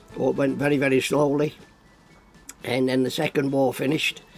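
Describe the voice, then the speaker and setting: With music in the background, a man speaks at medium pitch and a moderate pace, his intonation fairly even. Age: 80s+. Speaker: travelling showman. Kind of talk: interview. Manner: halting.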